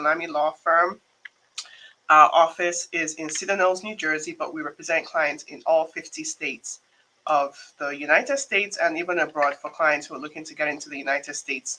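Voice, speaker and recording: With a Nigerian accent, a woman talks at a fairly quick pace in a fairly low pitch, showing ordinary pitch variation and big swings in loudness. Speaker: immigration attorney. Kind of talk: live stream talk. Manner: casual, many fillers.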